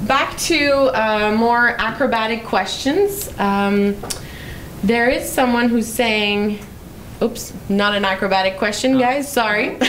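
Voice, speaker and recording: Speech at a very slow pace in a Quebec accent keeps a very even loudness, with light background noise. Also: woman. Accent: Québécois French accent in English. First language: French. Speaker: public relations manager hosting a live Q&A. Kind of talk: casual live interview. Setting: creation room, live stream. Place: meeting room. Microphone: handheld.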